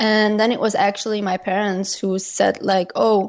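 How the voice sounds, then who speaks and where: Monotone, flat intonation at a moderate pace, with a Dutch accent. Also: woman. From Belgium. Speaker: travel blogger. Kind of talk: interview.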